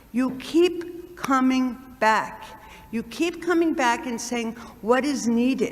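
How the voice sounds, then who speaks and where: Amid audible room echo, a woman with a high voice speaks at a very slow pace with ordinary pitch variation. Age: 60s. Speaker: nun and community center co-founder. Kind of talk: address to a church congregation. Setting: church. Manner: animated, repetitive emphasis.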